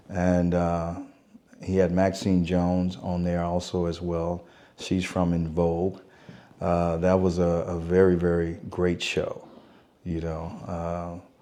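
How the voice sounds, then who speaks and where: Very slowly, a man speaks with a very deep, low pitch and a dark, mellow tone. His intonation is monotone and flat, with audible room echo. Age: 60s. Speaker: concert and event promoter. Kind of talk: interview. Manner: casual, conversational.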